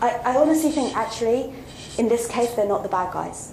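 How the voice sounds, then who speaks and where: Through audible room echo and noticeable background noise, a woman speaks at a moderate pace with ordinary pitch variation. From South Africa, Western Cape (Hermanus). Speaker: social worker and researcher. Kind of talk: Q&A talk. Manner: hesitant, many fillers and repetitions.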